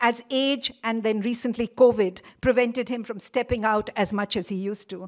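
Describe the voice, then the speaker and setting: Fairly even intonation marks this woman's speech. She goes at a moderate pace against a quiet background. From India. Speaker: event organizer. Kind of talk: formal welcome speech. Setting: lecture hall with audience. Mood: warm, reminiscent. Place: hall. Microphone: podium.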